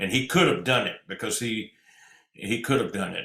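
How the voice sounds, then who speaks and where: A man at a moderate pace, with vocal fry. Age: 70s. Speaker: traditional country singer. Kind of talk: interview. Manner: halting.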